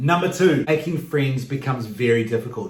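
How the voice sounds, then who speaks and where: The man speaks in an American accent with ordinary pitch variation. Audible room echo surrounds his voice. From New Zealand. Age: 40s. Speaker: vlogger. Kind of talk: vlog monologue.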